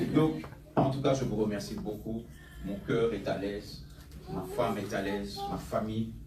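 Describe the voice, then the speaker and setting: A man speaks at a fairly slow pace with long, frequent pauses. Noticeable background noise and audible room echo fill the recording. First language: English (speaking French). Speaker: pastor. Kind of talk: sermon. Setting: church with congregation. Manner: animated.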